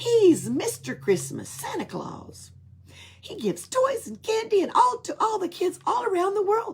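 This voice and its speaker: A put-on character voice from a woman, pitched extremely high, delivered at a moderate pace. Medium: read story. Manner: jokey.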